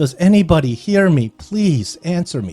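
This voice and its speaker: Over faint background music, a man in a put-on character voice speaks at a moderate pace with a fairly high pitch and very wide pitch swings. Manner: pleading.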